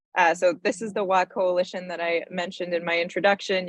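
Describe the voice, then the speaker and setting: A woman's medium-pitched, monotone voice with flat intonation at a fairly quick pace, dry and close with no echo. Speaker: energy policy advocate. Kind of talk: panel presentation.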